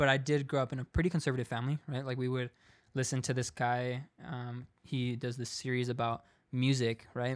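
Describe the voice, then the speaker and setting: The speech moves at a fairly quick pace in a monotone, flat intonation, on a very clean recording with a silent background. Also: man, medium pitch for a man. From US West Coast, San Diego. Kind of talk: casual testimony.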